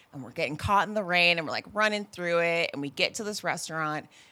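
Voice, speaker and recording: This woman's fairly low voice has a bright, sharp, animated tone and ordinary pitch variation, racing along at a very fast pace on a very clean recording with a silent background. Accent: American. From California. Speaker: podcast guest telling dating story. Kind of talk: casual chat, storytelling.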